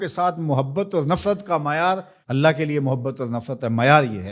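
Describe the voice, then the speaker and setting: With a normal speaking voice, a man talks at a fairly high pitch. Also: very clean recording, silent background. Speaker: Islamic preacher. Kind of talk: religious sermon.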